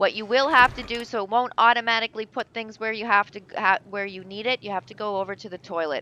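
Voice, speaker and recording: The woman's voice sits fairly high in pitch, with a bright, sharp tone and a dry, close sound that carries no echo. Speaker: gaming YouTuber. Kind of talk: gameplay tutorial. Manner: fast; casual, many fillers.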